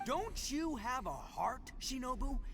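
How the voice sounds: A man speaks slowly in a put-on character voice at an extremely high pitch, his pitch swinging widely, with clear music in the background.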